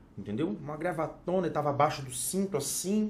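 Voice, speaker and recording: This man has a fairly high pitch and lively intonation, heard with audible room echo. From Espírito Santo, Brazil. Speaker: fashion consultant and influencer. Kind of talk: casual chat.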